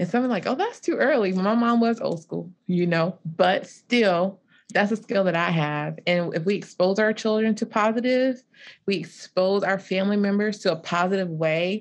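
With a South Carolina accent, a woman speaks at a moderate pace and medium pitch against a quiet background. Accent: US Southern, South Carolina. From South Carolina Lowcountry. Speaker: marriage and family therapist. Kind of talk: panel discussion on livestream.

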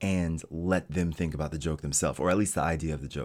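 A man's very deep, low voice in a very clean recording with a silent background. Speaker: podcaster and streamer. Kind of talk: casual solo monologue. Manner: unscripted, rambling with fillers; talking normally, not hushed radio voice.

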